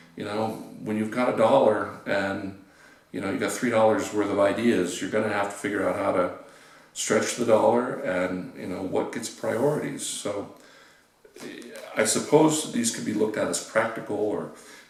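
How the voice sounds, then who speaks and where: A man with an American accent speaks at a moderate pace in a fairly low voice, with ordinary pitch variation, audible room echo and noticeable background noise. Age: 60s. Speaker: experimental musician. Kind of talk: interview. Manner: hesitant, many fillers.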